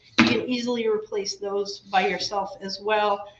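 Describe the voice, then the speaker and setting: A woman talks while music plays in the background. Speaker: home repair instructor. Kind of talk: virtual workshop tutorial. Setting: video livestream workshop.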